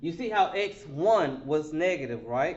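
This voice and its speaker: Lively intonation from a man with a fairly high pitch, plus audible room echo. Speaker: math teacher. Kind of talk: lecture. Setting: online remote class. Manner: slow, deliberate.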